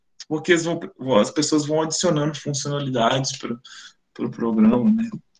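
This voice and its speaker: A man speaks at a moderate pace with lively intonation, his fairly high voice somewhat breathy. Audible room echo surrounds him. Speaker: phonetics professor, webinar speaker. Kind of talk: lecture. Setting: online webinar.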